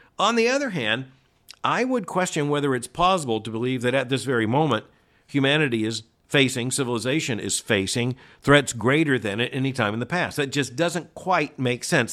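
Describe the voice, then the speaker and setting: Speaking at a fairly quick pace with lively intonation, a man at medium pitch has an unremarkable speaking voice, captured in a very clean recording with a silent background. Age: 60s. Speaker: podcast host and commentator. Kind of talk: answering listener letters; news commentary.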